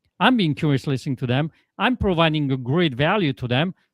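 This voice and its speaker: A man's fairly high voice with a Polish accent at a fairly quick pace, dry and close with no echo on a very clean recording with a silent background. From Poland. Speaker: life coach. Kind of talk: podcast interview.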